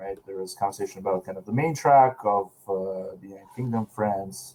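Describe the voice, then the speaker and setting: The tone is dark and mellow, with a Russian accent. Pitch variation is ordinary. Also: man. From Russia, Saint Petersburg. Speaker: panel moderator. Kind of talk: conference panel discussion.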